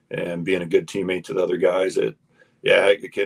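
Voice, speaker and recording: A man with a Midwestern US accent, recorded dry and close with no echo. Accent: US Midwest. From Iowa. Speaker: former college basketball player. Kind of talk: casual chat. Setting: studio. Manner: halting, many fillers.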